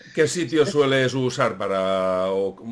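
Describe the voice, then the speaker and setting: He has an ordinary speaking voice. This man keeps a moderate pace, with ordinary pitch variation. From Spain. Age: 40s. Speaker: YouTube history channel host. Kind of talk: casual interview chat. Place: home room.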